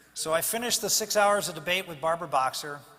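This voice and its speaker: Against noticeable background noise, a man with an American accent speaks in a high pitch with ordinary variation. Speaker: politician giving a keynote speech. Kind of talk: keynote speech to a fundraising banquet audience.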